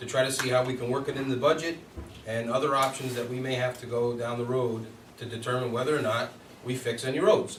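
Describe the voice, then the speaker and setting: A man's medium-pitched voice at a very fast clip, fairly even in intonation, with audible room echo and noticeable background noise. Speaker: village board member. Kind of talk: public meeting. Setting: village board meeting.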